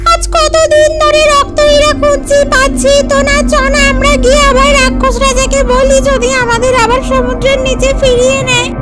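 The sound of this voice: A cartoonish character voice that sounds female moves at a moderate pace. Clear music plays in the background.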